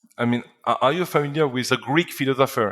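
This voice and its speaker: A man speaks at a medium pitch in a French accent. The sound is dry and close, with no echo. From northern France. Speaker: company founder. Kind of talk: interview. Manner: halting, many repetitions and fillers.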